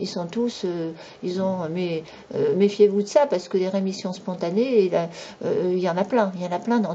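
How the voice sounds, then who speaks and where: Over noticeable background noise, a woman at a medium pitch speaks at a moderate pace with ordinary pitch variation. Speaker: YouTube commentator. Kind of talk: monologue commentary. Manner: animated.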